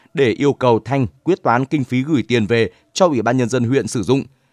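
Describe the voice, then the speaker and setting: A normal speaking voice from a man, medium-pitched with ordinary pitch variation and a moderate pace, in a very clean recording with a silent background. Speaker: news presenter. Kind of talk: news reading. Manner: formal.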